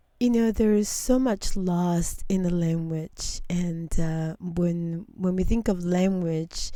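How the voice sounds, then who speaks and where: A woman with a non-native accent speaks very slowly in a fairly low, dark, mellow voice with ordinary pitch variation. The recording is very clean, with a silent background. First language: not English. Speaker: interview host. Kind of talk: interview.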